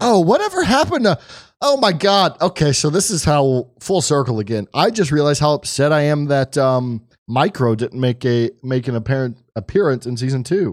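A man with an ordinary speaking voice talks at a moderate pace with lively intonation and a fairly high pitch, the sound dry and close with no echo in a very clean recording over a silent background. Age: 30s. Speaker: podcast co-host. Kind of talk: casual chat.

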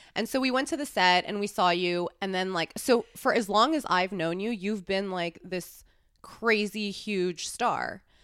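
Speaking at a fairly slow pace, a woman uses an unremarkable speaking voice with medium pitch and ordinary pitch variation. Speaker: podcast host and adult film performer. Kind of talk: casual chat. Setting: studio.

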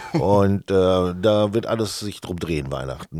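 In a dark, mellow tone, a man speaks on a very clean recording with a silent background. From Sauerland, Germany. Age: 40s. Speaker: marketing employee. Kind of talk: casual chat. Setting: studio.

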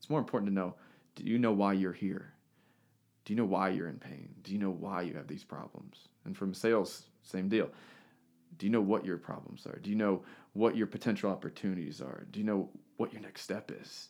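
Loudness swings widely as a man speaks fairly quickly in a plain, everyday voice, fairly low in pitch with ordinary pitch variation, in a very clean recording with a silent background. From US, moved around (Texas, Missouri). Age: 30s. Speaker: physical therapist and business owner. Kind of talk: casual interview.

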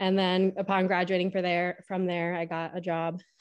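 Against a quiet background, a woman speaks with an American accent in a fairly low pitch and a monotone, flat intonation. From Pennsylvania. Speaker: teacher, bereaved mother. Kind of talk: personal testimony interview. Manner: frequent filler words (um, like).

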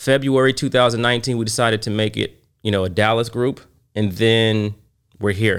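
A man with an American accent speaks in a normal speaking voice at medium pitch and a moderate pace. His intonation is fairly even and his loudness very even. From Oklahoma City, Oklahoma. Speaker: bourbon collector and entrepreneur. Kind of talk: casual chat.

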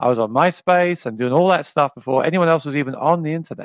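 Talking at a very fast pace with an English accent, this voice has a dry, close sound with no echo against a quiet background. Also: man. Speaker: musician and YouTuber. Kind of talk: casual interview chat.

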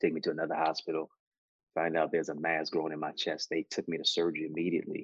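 Very fast speech from a man with an American accent comes through dry and close, with no echo. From Jamaica, Kingston. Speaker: motivational speaker and author. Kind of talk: interview. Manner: animated, joking.

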